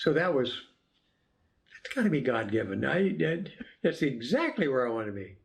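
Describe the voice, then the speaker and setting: Against audible room echo, a man with a fairly high pitch and vocal fry swings very widely in pitch at a moderate pace, with long, frequent pauses. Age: 90s. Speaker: retired coast guard officer. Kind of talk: interview.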